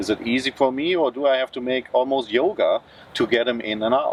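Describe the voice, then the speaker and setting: Over noticeable background noise, a man with a German accent talks at a moderate pace, his voice fairly high with ordinary pitch variation. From Germany. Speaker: car reviewer. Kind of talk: casual vlog talk to camera.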